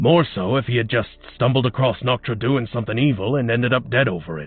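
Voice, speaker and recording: A man's put-on character voice, medium in pitch, at a very fast pace. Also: ordinary pitch variation. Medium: audio drama.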